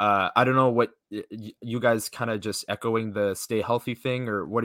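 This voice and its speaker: A bright, sharp tone in a dry, close sound with no echo, on a very clean recording with a silent background. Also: man. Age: 20s. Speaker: hockey podcast host. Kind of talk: casual chat.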